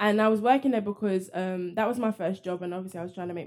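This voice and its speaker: A very fast woman's voice with a London accent, medium pitch and ordinary pitch variation. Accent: British (London) English. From London, England. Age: 20s. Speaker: fitness and nutrition coach and actress. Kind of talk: casual interview chat.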